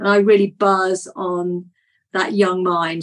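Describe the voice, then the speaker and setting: A woman speaks in a plain, everyday voice. Her pitch is medium and her intonation fairly even. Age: 50s. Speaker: naturopath. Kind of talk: interview.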